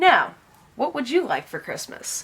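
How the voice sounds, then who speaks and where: In a put-on character voice, the speaker keeps a moderate pace. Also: woman. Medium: read story.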